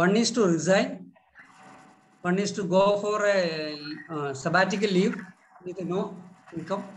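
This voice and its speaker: Speaking with an Indian accent, a man uses a high pitch with ordinary pitch variation and long, frequent pauses. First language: Malayalam. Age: 50s. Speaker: manager. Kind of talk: class discussion. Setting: video call.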